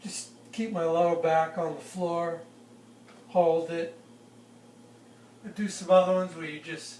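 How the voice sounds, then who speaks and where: In a high-pitched monotone with flat intonation, a man speaks with long, frequent pauses and big swings in loudness, amid noticeable background noise and audible room echo. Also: fairly slow pace. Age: 60s. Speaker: forester. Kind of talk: interview. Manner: halting.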